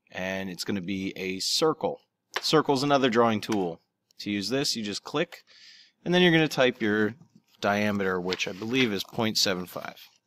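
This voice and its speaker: A man with a normal speaking voice, fairly low pitch and lively intonation at a moderate pace, dry and close with no echo. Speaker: teacher. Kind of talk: tutorial.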